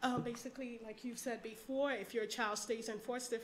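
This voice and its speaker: Her pitch fairly high, a woman talks in a monotone, flat intonation. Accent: American. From New York City. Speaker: parent advocate. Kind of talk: personal testimony.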